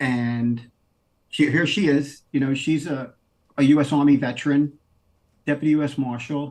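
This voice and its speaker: In a New York accent, a man speaks at a moderate pace with a fairly high pitch. His intonation is flat and monotone, broken by long, frequent pauses. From New York City, Queens. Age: 50s. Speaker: former deputy US marshal. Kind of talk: interview.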